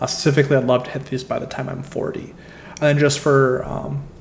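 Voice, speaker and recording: Against noticeable background noise and audible room echo, a man with a Midwestern American accent talks at a moderate pace and a fairly high pitch, his intonation monotone and flat. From US Midwest. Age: 20s. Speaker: travel and credit card points vlogger. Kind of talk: casual presentation walkthrough.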